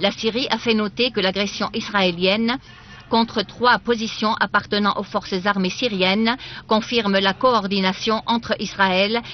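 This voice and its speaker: At a fairly slow pace, a woman talks with fairly even intonation in a dry sound with no echo. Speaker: TV news reader. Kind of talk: formal news reading. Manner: formal, steady official newsreader delivery. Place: studio.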